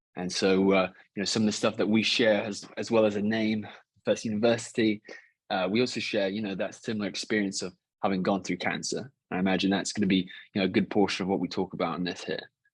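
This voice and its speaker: Very fast, monotone, flat speech in an English accent over a quiet background. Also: man, fairly low pitch for a man. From England. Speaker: cancer survivor. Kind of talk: podcast interview.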